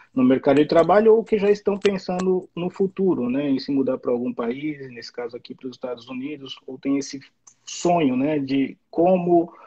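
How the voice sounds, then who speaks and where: A man's fairly high voice at a moderate pace, an unremarkable speaking voice with lively intonation and big swings in loudness, the sound dry and close with no echo. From Brazil. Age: 40s. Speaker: immigrant worker in the US. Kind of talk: live stream interview.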